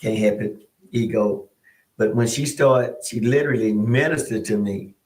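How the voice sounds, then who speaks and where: This man's voice is somewhat breathy, at a medium pitch. He speaks at a moderate pace. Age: 60s. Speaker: pastor. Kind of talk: casual chat.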